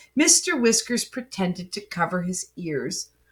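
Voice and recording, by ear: Someone reads the text aloud in a natural voice, their intonation lively throughout.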